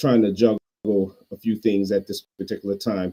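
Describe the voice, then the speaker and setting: Dark, mellow tone at a fairly quick pace, fairly even intonation, on a very clean recording with a silent background. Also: man. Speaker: pastor and podcast host. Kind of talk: casual commentary monologue. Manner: halting, self-interrupting.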